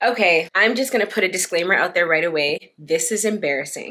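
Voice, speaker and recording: A woman speaks with a Canadian accent. Her pace is fairly slow. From Canada, Toronto. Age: 30s. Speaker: lifestyle vlogger. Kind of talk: casual chat.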